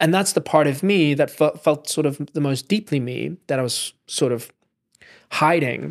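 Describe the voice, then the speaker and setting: With vocal fry and ordinary pitch variation, a man's fairly high voice comes through in a very clean, dry and close recording with a silent background and no echo. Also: moderate pace. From South Africa. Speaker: film director and musician. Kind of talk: casual chat. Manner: halting.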